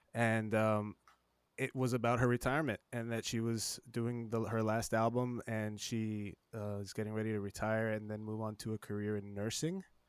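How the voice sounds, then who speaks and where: Here a man speaks with an American accent at a moderate pace. His intonation is monotone and flat. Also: medium pitch for a man. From South Texas, Laredo. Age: 40s. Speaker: podcast host. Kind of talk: casual interview. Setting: home studio, remote call.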